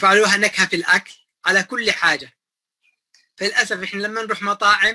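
A bright, sharp tone comes through in a raised, projected voice. The pace is fairly quick against a quiet background. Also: man. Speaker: electrical systems engineer; guest. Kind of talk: interview.

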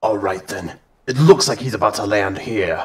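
The man's voice sits fairly low in pitch, with ordinary pitch variation and big swings in loudness. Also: moderate pace. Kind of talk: comic parody voice acting. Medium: comedy sketch.

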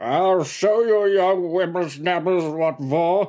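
A man speaks in a put-on character voice. His pitch is high for a man, and his pace is fairly slow. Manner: rambling, slurred, then cranky.

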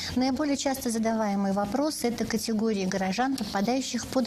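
A woman talks at a moderate pace, her pitch varying in an ordinary way, with noticeable background noise present. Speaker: radio host. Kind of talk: live call-in interview. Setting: studio.

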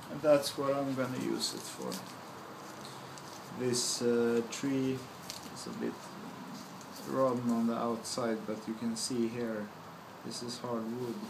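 Speaking at a fairly slow pace with long, frequent pauses, a man with a Swedish accent keeps a medium pitch and fairly even intonation over noticeable background noise. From Sweden. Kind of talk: casual product review to camera. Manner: slow-paced.

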